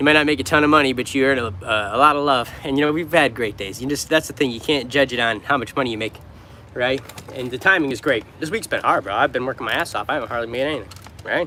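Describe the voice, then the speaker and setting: Speaking very fast with an American accent, a man holds a medium pitch with ordinary variation. Noticeable background noise runs underneath. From New York. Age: 30s. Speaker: street musician. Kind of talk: livestream chat with viewers.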